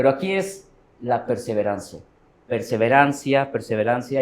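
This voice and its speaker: Fairly slow speech from a man, medium in pitch. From Mexico. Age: 40s. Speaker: professional trader. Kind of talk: interview.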